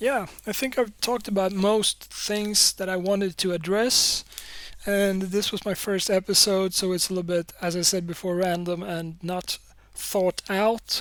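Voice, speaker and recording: A woman speaks fairly slowly with a Swedish accent. Her pitch is medium and her intonation fairly even. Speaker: podcaster and YouTube creator. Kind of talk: solo podcast monologue. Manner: halting, many fillers and repeats.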